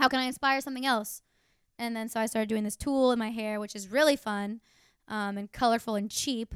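A woman at a fairly high pitch, with fairly even intonation and a moderate pace, on a very clean recording with a silent background and a dry, close sound with no echo. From Florida, Tampa. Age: 20s. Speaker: musician. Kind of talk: casual chat. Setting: home.

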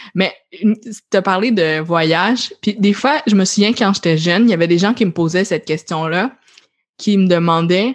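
A woman speaks with a Quebec accent at a fairly slow pace, her medium pitch showing ordinary variation against a quiet background. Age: 20s. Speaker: podcast host. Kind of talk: casual chat.

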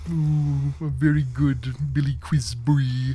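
A put-on character voice at a very deep, low pitch and a fairly slow pace, with clear background noise.

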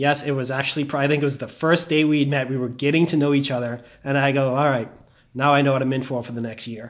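Very fast and flat in intonation, a man speaks in a fairly high pitch with a Bahamian accent. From Bahamas. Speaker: investment banker. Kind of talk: casual chat.

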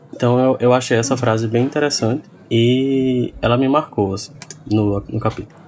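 A man's medium-pitched voice, fairly even in intonation and moderate in pace, over noticeable background noise. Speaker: podcast guest, website colleague. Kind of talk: casual chat. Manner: halting, many repetitions.

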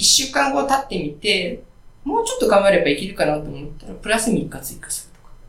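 A man talks at a very fast pace in a high pitch. Noticeable background noise and audible room echo fill the recording. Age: 40s. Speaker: indie smartphone game developer. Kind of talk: interview. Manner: frequent filler words.

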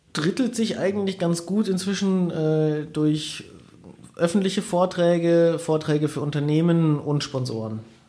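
Over noticeable background noise, a man speaks at a fairly slow pace with a high pitch and ordinary pitch variation. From Bavaria, Germany (Bayrischzell, south of Munich). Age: 30s. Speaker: bike mountaineer and adventure athlete. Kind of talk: interview. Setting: studio.

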